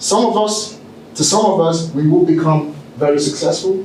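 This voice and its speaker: A man with a British accent talks at a moderate pace in a fairly high pitch with ordinary pitch variation, over noticeable background noise and audible room echo. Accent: British with Nigerian roots. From Nigeria. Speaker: keynote speaker and entrepreneur. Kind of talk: motivational keynote speech. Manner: animated, engages audience with questions.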